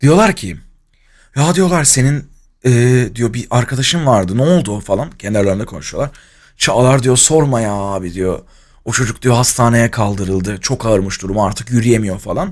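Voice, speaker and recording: A man's lively intonation carries at a moderate pace, with the background quiet. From Turkey, Izmir; Turkey. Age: 20s. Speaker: streamer. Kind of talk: casual storytelling on a livestream. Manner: animated, laughing.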